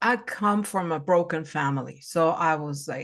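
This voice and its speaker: An unremarkable speaking voice from a woman, fairly low in pitch, with ordinary pitch variation and a fairly slow pace. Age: 60s. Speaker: spiritual life coach. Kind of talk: casual chat.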